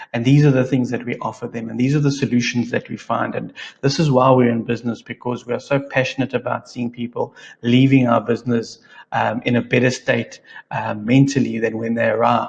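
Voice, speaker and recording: Delivered at a fairly quick pace, the voice is monotone and flat, with vocal fry. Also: man, medium pitch for a man. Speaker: digital marketing trainer. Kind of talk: tutorial.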